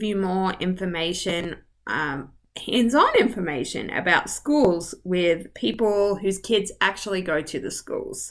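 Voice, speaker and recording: At a fairly slow pace, a woman with an Australian accent speaks in a medium pitch with lively intonation. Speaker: real estate agent. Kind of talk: video tour. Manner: rising intonation at ends; casual, friendly.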